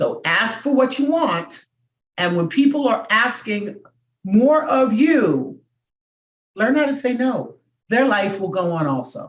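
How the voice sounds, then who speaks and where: A woman with a fairly high pitch and vocal fry swings very widely in pitch, talking at a fairly slow pace with long, frequent pauses. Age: 70s. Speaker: comedian and motivational speaker. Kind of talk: interview.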